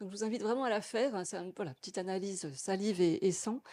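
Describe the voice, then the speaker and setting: On a very clean recording with a silent background, a woman talks at a very fast pace in a medium-pitched voice with a dark, mellow tone and ordinary pitch variation. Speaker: patient testimony speaker at medical conference. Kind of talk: conference testimony speech.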